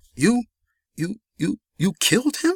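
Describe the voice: A man does a put-on character voice at a high pitch, with big pitch swings. His fairly slow delivery has vocal fry and a slightly husky edge. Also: dry, close sound with no echo.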